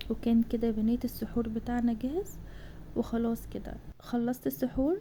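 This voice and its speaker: A woman speaks with an Egyptian accent. Her pace is moderate. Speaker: cooking vlogger. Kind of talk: vlog voiceover.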